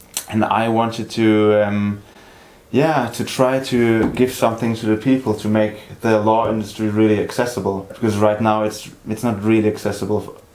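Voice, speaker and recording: Noticeable background noise sits under a monotone, flat delivery. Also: man, fairly low pitch for a man, moderate pace. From grew up in several countries, high school in Germany. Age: 20s. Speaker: law student, startup co-founder. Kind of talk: interview.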